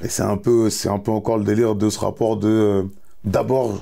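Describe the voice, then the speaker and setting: Speaking at a moderate pace, a man with a fairly low pitch and a dark, mellow tone keeps a monotone, flat intonation. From France. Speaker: musician. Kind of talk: interview answer.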